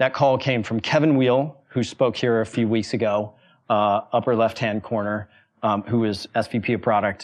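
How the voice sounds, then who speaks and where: A man with an American accent and a normal speaking voice talks at a moderate pace at medium pitch, his intonation fairly even and his loudness very even against a quiet background. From US, Wyoming small town. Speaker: venture capitalist and former startup founder. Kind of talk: talk to a university audience.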